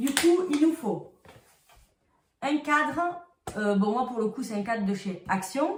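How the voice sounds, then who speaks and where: A woman with a high pitch speaks very slowly in a southern French accent. Her pitch swings very widely, and she takes long, frequent pauses. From southern France. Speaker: crafts youtuber. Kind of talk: tutorial. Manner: casual, chatty.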